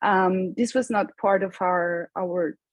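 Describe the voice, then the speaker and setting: In a quiet background, a woman with a Spanish accent speaks in a somewhat breathy voice. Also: dry, close sound with no echo. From Colombia. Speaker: climate panelist, sustainability advocate. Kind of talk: panel discussion.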